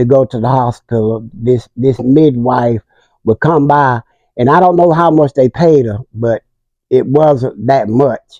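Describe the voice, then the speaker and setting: With an American accent, a man talks fairly slowly in a dark, mellow tone with ordinary pitch variation. The sound is dry and close, with no echo. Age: 70s. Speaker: community elder. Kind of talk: interview.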